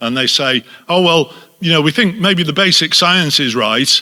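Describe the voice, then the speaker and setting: A man's fairly high, bright and sharp voice, fairly slow in pace, with lively intonation. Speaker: conference speaker. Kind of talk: conference talk. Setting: stage with audience. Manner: loud.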